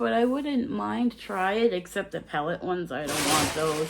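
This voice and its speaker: A woman speaks at a medium pitch, her voice making very wide pitch swings. Noticeable background noise is present. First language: not English. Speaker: vlogger. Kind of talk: casual haul video.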